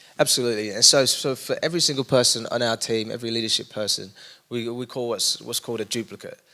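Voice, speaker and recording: A man speaks with an East London accent. His pace is very fast. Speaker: young adults pastor. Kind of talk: casual interview conversation.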